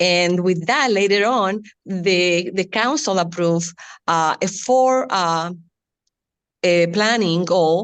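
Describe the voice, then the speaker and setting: A woman of medium pitch speaks at a fairly slow pace with a strong Latin American Spanish accent. Her pitch variation is ordinary, and the background is quiet. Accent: Latin American Spanish accent, heavy. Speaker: city community outreach staff. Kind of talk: panel discussion. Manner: halting.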